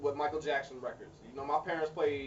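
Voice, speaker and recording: Against noticeable background noise, a man speaks in a fairly high voice. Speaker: music artist video blogger. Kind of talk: video blog. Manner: halting, repeats words.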